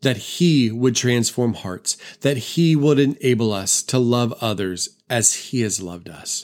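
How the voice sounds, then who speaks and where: A man with an American accent and a solemn tone speaks fairly slowly at a medium pitch with ordinary pitch variation, on a very clean recording with a silent background. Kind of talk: fervent spoken prayer to God, earnest and pleading. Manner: earnest, heartfelt, impassioned; deliberate, measured, with solemn repetition.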